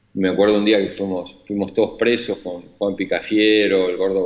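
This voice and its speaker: A man's fairly low-pitched voice at a moderate pace. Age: 60s. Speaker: imprisoned former government official. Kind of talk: interview. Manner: hesitant, many fillers.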